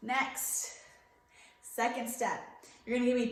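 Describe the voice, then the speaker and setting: The woman's voice is loud. Room echo can be heard. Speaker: schoolteacher. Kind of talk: remote lesson.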